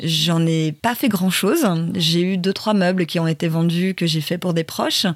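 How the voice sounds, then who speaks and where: Amid noticeable background noise, a woman speaks at a fairly low pitch with fairly even intonation and very even loudness. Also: fairly slow pace. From Paris, France. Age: 40s. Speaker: travel blogger. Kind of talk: casual interview. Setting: wooden cabin.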